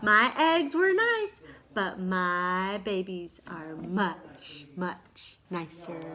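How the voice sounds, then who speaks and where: A woman performs a put-on character voice at a very slow pace. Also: medium pitch for a woman. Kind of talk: bedtime story. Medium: read story.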